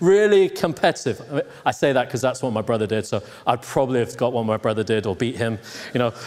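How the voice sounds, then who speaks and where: Over noticeable background noise, a medium-pitched man with an American accent talks very fast with lively intonation. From Hong Kong, then England. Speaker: pastor. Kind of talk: sermon. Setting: church.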